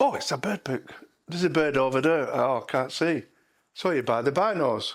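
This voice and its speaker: A man with an English accent, fairly high pitch, lively intonation and a moderate pace. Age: 70s. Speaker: retired lorry driver, bird watcher. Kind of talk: documentary interview.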